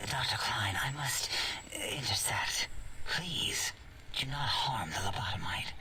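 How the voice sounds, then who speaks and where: A man whispers in a put-on character voice at a fairly slow pace. Background noise is clearly audible. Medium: game stream. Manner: halting, with vocalized pauses.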